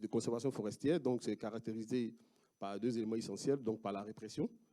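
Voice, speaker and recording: A man's dark, mellow tone at medium pitch, with an Ivorian accent, fairly even intonation and a fairly quick pace. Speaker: researcher. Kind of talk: conference talk. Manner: halting, many hesitations.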